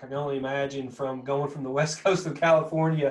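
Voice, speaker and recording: At a fairly quick pace, a man talks in a strong Southern Kentucky accent. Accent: thick Southern Kentucky. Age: 40s. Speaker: podcast host. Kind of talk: casual interview chat.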